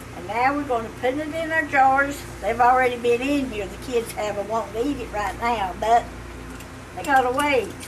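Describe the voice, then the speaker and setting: A woman with a Southern Appalachian accent at a high pitch, moderate pace, ordinary pitch variation and big swings in loudness, amid noticeable background noise. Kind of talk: cooking demonstration.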